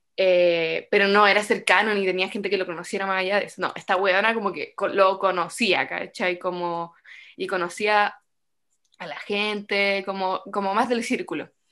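A woman speaks in a bright, sharp tone with a Chilean accent and flat, monotone intonation. The recording is very clean, with a silent background. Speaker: podcast co-host, theatre student. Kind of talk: casual chat.

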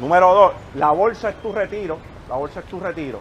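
This man talks at a fairly quick pace. His pitch is high. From Puerto Rico, Canóvanas. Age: 30s. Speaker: motivational speaker and investor. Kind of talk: motivational talk to live audience. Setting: outdoor basketball court event with audience.

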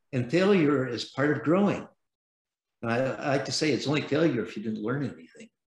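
With an American accent, a man talks at a fairly quick pace in a fairly high, somewhat breathy voice with lively intonation. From San Francisco, US West Coast. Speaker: venture capitalist. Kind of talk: interview.

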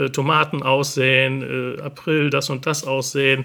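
Bright and sharp in tone, a man's voice carries fairly even intonation. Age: 50s. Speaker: hobby gardener and gardening video creator. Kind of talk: casual interview. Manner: hesitant, with many filler sounds.

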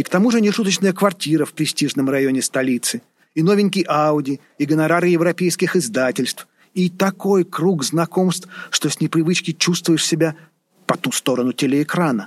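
A high-pitched male voice with a warm tone at a moderate pace, ordinary pitch variation, and a dry, close sound with no echo. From Saint Petersburg, Russia. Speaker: author and scholar reading own novel excerpt. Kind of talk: literary audiobook reading. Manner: measured, expressive narration, shifting from wry irony to warm tenderness.

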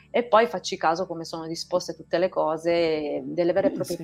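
A woman's fairly low voice at a fairly quick pace, with fairly even intonation and music in the background. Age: 50s. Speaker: naturopath. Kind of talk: casual chat. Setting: live stream.

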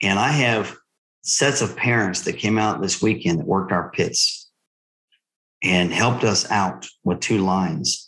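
A normal speaking voice at a fairly slow pace, with very even loudness and ordinary pitch variation. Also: man, fairly low pitch for a man. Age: 50s. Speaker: paintball team owner. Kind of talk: casual chat. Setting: video call with bad connection.

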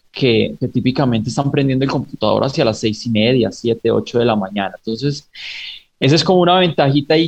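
A man speaks at a medium pitch with ordinary pitch variation. His voice is somewhat breathy. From Pereira, Colombia and raised in the US. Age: 30s. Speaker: startup founder and investor. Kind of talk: radio interview. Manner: halting, many repetitions.

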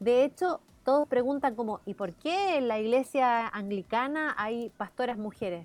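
Lively intonation and a high pitch mark this woman's voice. She talks at a fairly slow pace. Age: 40s. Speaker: journalist and teacher. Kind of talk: radio interview.

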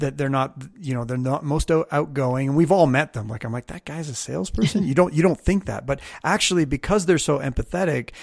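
With a slight Canadian accent, a man talks at a fairly quick pace with hardly any pauses, his fairly high pitch showing ordinary variation, the sound dry and close with no echo on a very clean recording with a silent background. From Canada. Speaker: podcast host. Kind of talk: casual interview chat.

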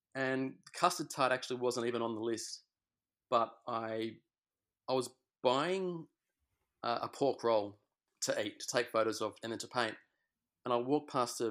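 A man with an Australian accent and ordinary pitch variation, in a very clean recording with a silent background. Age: 30s. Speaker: self-taught oil painter. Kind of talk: interview. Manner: halting.

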